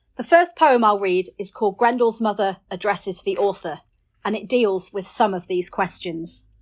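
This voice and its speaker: A woman with a northern English accent speaks at medium pitch and a moderate pace with ordinary pitch variation, on a very clean recording with a silent background. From northern England. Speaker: poet. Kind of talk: poetry reading with introductions.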